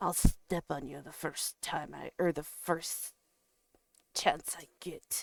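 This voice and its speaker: Putting on a character voice, a woman speaks with a rumbling, fairly low pitch at a fairly slow pace. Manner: grumbling; snorting, disdainful.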